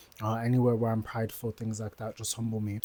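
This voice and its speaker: A man speaks at a medium pitch in a flat, monotone delivery with a dark, mellow tone. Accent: London. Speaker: vlogger and aspiring entrepreneur. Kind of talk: casual vlog monologue.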